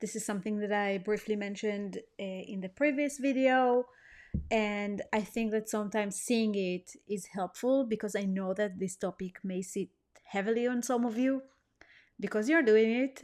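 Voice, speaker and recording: A woman with a non-native accent, fairly high pitch, ordinary pitch variation and a moderate pace. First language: not English. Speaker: weight-loss coach. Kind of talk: online course lesson. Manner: hesitant, many fillers.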